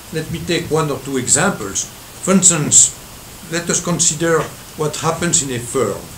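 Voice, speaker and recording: Over noticeable noise and audible room echo, a man's fairly high voice comes through. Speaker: economics professor. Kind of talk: lecture. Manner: halting.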